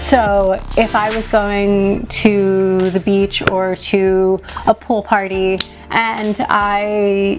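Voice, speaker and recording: A woman speaks very slowly at a medium pitch in a flat monotone, with noticeable noise in the background. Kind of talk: casual makeup tutorial to camera.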